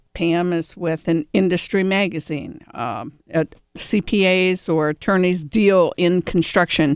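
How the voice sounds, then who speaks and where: A woman with an American accent speaks in an ordinary speaking voice, fairly low-pitched with ordinary pitch variation, at a fairly slow pace, in a very clean, dry, close recording with a silent background and no echo. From Cleveland, Ohio. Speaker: executive director of a remodelers' trade association. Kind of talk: casual chat. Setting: studio.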